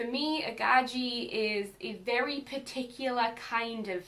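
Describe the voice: A woman talks in a north-east English accent with fairly even intonation. Audible room echo surrounds her voice. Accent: mild Northumbrian, north-east English.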